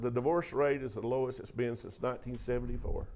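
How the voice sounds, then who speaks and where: Someone speaks with a Southern US accent amid audible room echo. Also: man. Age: 60s. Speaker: preacher and speaker on mental health. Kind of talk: talk to a church audience. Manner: animated.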